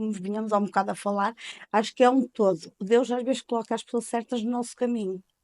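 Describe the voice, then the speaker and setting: A woman talking at a fairly quick pace, with a dry, close sound, no echo and a quiet background. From Portugal, Penafiel area (north). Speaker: informal caregiver, mother. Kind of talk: interview, personal testimony.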